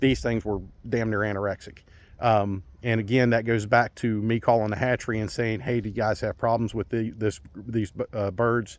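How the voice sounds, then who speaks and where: A man speaks at a medium pitch in a monotone, flat intonation. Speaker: small farmer. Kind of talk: casual vlog talk. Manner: fast.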